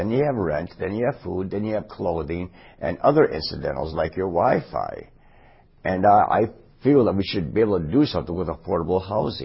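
The voice is somewhat breathy, moving at a fairly quick pace with lively intonation. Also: man, fairly low pitch for a man. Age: 60s. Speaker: city council candidate. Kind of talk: candidate interview.

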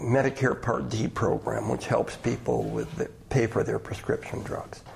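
The speaker has an American accent and a moderate pace. Noticeable background noise runs beneath the voice. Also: man. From Madison, Wisconsin. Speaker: retired state official. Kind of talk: radio interview.

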